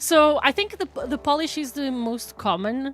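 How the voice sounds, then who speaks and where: The speaker is a woman. Her pitch is high. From Portugal. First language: Portuguese. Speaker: video game streamer. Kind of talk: casual chat. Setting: live stream. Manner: halting, many fillers.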